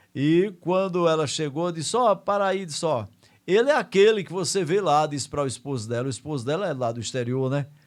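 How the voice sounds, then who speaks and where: In a very clean recording with a silent background, a normal speaking voice moves with lively intonation. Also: man. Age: 60s. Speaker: radio host. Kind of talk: casual radio monologue. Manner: conversational, with fillers like né.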